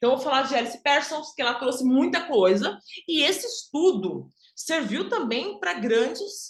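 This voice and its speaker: The speaker is a woman. There's a somewhat breathy quality to her voice. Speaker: image and style consultant. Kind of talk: online workshop lecture.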